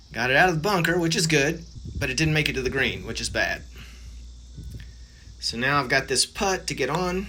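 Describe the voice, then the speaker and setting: A man with an American accent speaks at a fairly quick pace in a fairly high pitch, relaxed in tone with ordinary pitch variation, leaving long, frequent pauses amid audible room echo. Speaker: amateur golf vlogger. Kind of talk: casual vlog voiceover commentary. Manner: relaxed, conversational.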